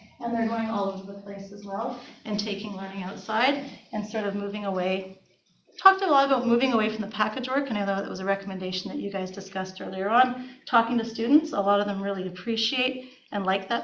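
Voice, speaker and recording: A very fast Canadian accent with big swings in loudness, audible room echo, and noticeable background noise. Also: woman. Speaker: school administrator. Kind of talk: report to school board. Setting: board meeting. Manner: animated.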